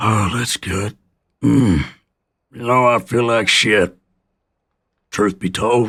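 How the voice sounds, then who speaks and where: Using a put-on character voice, a man sounds raspy at a medium pitch with fairly even intonation. He goes at a very slow pace with long, frequent pauses. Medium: game stream. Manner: wry, dry humour.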